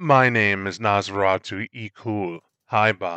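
The speaker takes on a put-on character voice and moves at a fairly slow pace. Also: man. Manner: deadpan, cold.

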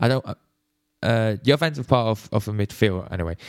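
Talking at a fairly quick pace, a man speaks with a Swiss accent. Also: dry, close sound with no echo. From Switzerland. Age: 20s. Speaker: podcaster, football fan. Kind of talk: solo podcast, casual monologue. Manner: rambling, hesitant, many fillers.

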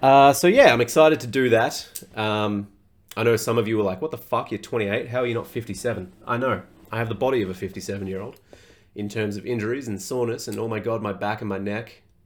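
A man with an Australian accent talks fairly quickly at a medium pitch, keeping his intonation fairly even. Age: 20s. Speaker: fitness coach, podcast host. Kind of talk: casual solo podcast monologue.

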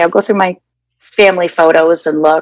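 A woman with an ordinary speaking voice and an American accent speaks at a moderate pace, her fairly low pitch carrying lively intonation. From Massachusetts (Danvers). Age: 50s. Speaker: interviewee sharing personal story. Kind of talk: personal testimony interview.

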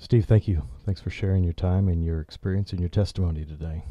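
Somewhat breathy, a man with a very deep, low pitch and a dark, mellow tone talks at a fairly quick pace with fairly even intonation, against a quiet background. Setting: studio.

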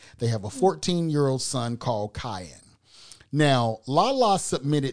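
Against a quiet background, a man speaks at medium pitch with very wide pitch swings. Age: 50s. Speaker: podcast host. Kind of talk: casual chat. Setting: studio. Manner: hesitant, filler-heavy.

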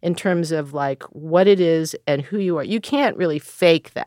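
A plain, everyday voice in an American accent, fairly slow, with lively intonation and a dry, close sound with no echo. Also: woman. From Philadelphia, US. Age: 60s. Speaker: jazz pianist and composer. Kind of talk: interview. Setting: studio.

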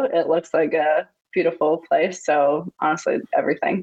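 Using ordinary pitch variation, a woman with an American accent talks at a moderate pace. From Long Island, New York. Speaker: professional triathlete, data analyst. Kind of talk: interview.

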